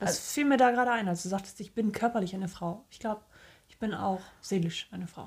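A woman speaks at a very fast pace, somewhat breathy, with ordinary pitch variation and big swings in loudness. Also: medium pitch for a woman. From northern Germany. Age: 30s. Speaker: podcast co-host. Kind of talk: casual chat.

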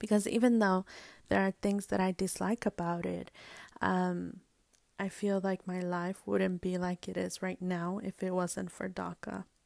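A woman speaks with an American accent at a fairly slow pace. The sound is dry and close with no echo, on a very clean recording with a silent background. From US, brought from Mexico at age two. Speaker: podcast host. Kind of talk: personal storytelling monologue. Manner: hesitant, many fillers.

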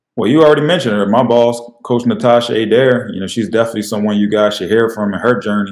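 Talking at a fairly quick pace with an American accent, a man has an ordinary speaking voice and ordinary pitch variation. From Chester, Pennsylvania. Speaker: women's college basketball assistant coach. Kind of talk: casual interview.

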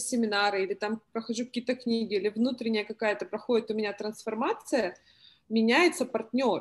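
Here a woman speaks with fairly high pitch and ordinary pitch variation, at a moderate pace. It is an unremarkable speaking voice. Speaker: participant asking advice. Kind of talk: casual Q&A. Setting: video call.

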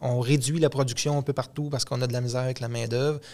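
With a plain, everyday voice, a man talks at a medium pitch with fairly even intonation. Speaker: podcast co-host, mechanic. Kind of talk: casual chat.

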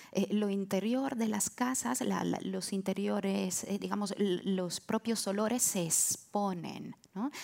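A woman speaks at a very slow pace. Her medium-pitched voice has ordinary pitch variation. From Italy, Naples area (Castellammare di Stabia). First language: Italian / Neapolitan (speaking Spanish). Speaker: translator and writer. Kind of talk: live podcast panel discussion. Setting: stage with live audience.

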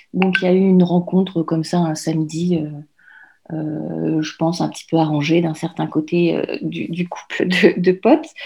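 A woman speaks at a fairly slow pace with a dark, mellow, somewhat breathy tone, fairly even intonation and hardly any pauses, against a quiet background. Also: fairly low pitch for a woman. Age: 40s. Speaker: mother and blogger. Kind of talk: interview. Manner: halting.

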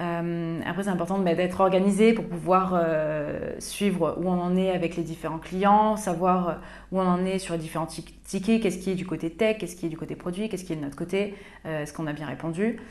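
Speaking at a moderate pace with long, frequent pauses, a woman keeps a fairly even intonation at a fairly low pitch. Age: 20s. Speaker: customer success manager. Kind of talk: interview.

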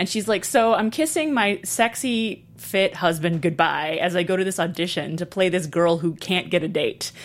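A plain, everyday voice at a moderate pace with ordinary pitch variation. The recording is very clean, with a silent background. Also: woman. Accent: American. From Brooklyn, New York and Texas. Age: 30s. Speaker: comedian and author. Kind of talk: casual interview chat.

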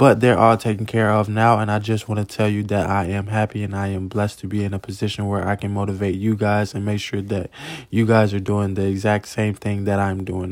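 At a fairly quick pace, a man speaks in an unremarkable speaking voice with fairly low pitch. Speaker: podcast host and motivational speaker. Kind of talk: motivational pep talk, upbeat and sincere, with faith-based encouragement. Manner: warm, earnest and encouraging, direct address to listeners.

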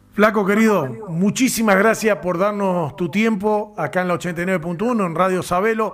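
A man's high voice at a fairly slow pace, with hardly any pauses, ordinary pitch variation and noticeable background noise. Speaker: radio sports host. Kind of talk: radio interview.

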